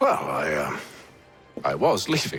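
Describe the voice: A man does a put-on character voice at an extremely low pitch, with a fairly bright tone and very wide pitch swings. He talks at a slow pace over faint background music.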